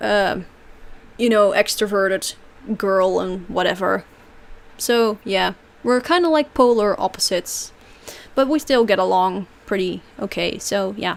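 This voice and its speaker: A woman with a Dutch accent, medium in pitch with ordinary pitch variation, at a fairly slow pace broken by long, frequent pauses. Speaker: streamer. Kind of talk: livestream Q&A. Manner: casual, hesitant with fillers.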